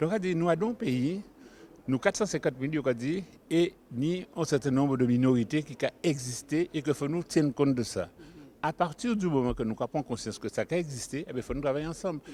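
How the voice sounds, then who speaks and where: A man speaks at a fairly quick pace with lively intonation. His tone is dark and mellow. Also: fairly high pitch for a man. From Guadeloupe. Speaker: community association member. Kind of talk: interview.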